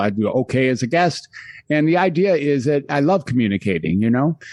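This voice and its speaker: Against a quiet background, a man with a medium pitch speaks at a very fast pace with lively intonation. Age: 60s. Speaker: psychiatrist. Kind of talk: interview.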